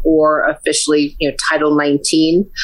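At a fairly slow pace, a woman speaks with an American accent over noticeable background noise. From Connecticut. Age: 50s. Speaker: licensed insurance agent. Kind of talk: interview, explaining.

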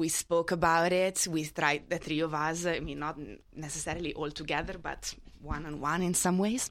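A woman with an Italian accent, fairly low in pitch, fairly even in intonation, moderate in pace with hardly any pauses, on a very clean recording with a silent background. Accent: noticeable Italian. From Italy. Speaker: panelist. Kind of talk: live panel discussion.

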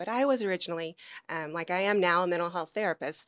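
In a very clean recording with a silent background and a dry, close sound with no echo, a woman with an American accent talks at a fairly quick pace, her bright, sharp tone set at a fairly low pitch. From US South, Memphis, Tennessee. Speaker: former Secret Service agent and political candidate. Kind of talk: interview.

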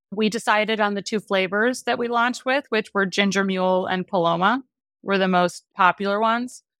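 An ordinary speaking voice with an American accent on a very clean recording, dry and close with no echo and a silent background. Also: woman, medium pitch for a woman, ordinary pitch variation, fairly quick pace. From US Midwest, Wisconsin. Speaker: beverage company founder. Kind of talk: interview.

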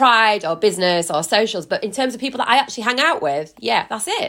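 A woman with a Yorkshire accent talks very fast at a fairly high pitch. Her tone is bright and sharp, with very wide pitch swings. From West Yorkshire. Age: 30s. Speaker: journalist and broadcaster. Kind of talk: casual chat.

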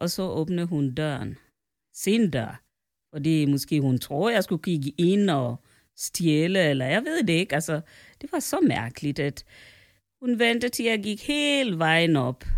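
In a very clean recording with a silent background, a woman speaks fairly slowly at a fairly low pitch, her voice swinging very widely in pitch, with long, frequent pauses. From Kenya. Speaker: host's mother. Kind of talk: casual chat. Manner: formal.

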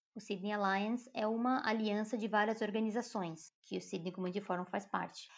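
In a quiet background, a woman with an unremarkable speaking voice talks at a fairly high pitch with fairly even intonation. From Brazil, Joinville, Santa Catarina. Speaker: community worker. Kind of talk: interview conversation.

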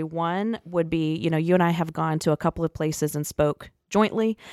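A plain, everyday voice from a woman, fairly low pitched, with ordinary pitch variation, a moderate pace and hardly any pauses, dry and close with no echo, on a very clean recording with a silent background. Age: 30s. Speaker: incoming executive director of a rescue mission, podcast co-host. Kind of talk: interview questions in casual chat.

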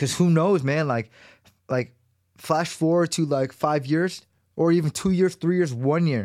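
With a Californian accent, a man with a fairly high voice talks at a fairly slow pace and very even loudness on a very clean recording with a silent background. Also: ordinary pitch variation. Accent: Californian American. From Los Angeles, US West Coast. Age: 30s. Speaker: podcast host. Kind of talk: casual monologue. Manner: casual, slangy.

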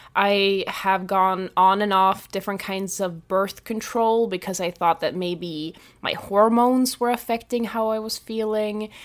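A woman at a medium pitch, with ordinary pitch variation and a fairly slow pace, in a very clean recording with a silent background. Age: 20s. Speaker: life coach. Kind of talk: solo podcast monologue. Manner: conversational.

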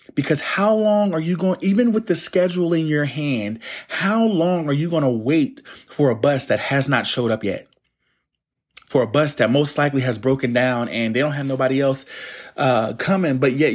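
Against a quiet background, a man with an American accent and a fairly high pitch talks at a moderate pace with lively intonation. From US Northeast, Plainfield, New Jersey. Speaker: motivational podcaster. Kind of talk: motivational monologue.

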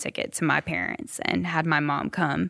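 The voice has an American accent, a bright, sharp tone and vocal fry. The sound is dry and close, with no echo. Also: woman. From US South, upstate South Carolina. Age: 30s. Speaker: music publisher. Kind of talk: interview storytelling.

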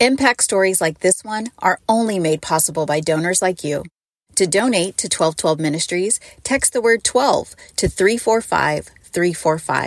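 A woman with an unremarkable speaking voice talks at a fairly slow pace and medium pitch. Her intonation is lively, and the sound is dry and close with no echo. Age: 40s. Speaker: podcast host. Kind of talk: casual chat.

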